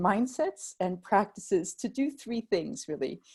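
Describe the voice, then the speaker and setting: The woman's dark, mellow tone is somewhat breathy. She speaks at a fairly slow pace with an American accent. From North America (US, Mexico, Canada). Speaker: improvisation trainer. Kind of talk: webinar presentation. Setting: video call.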